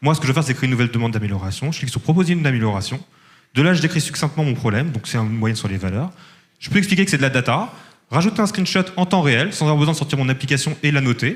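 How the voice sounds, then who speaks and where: A somewhat breathy man with a fairly high pitch and lively intonation at a very fast pace. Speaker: startup founder pitching. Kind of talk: startup pitch with demo and Q&A.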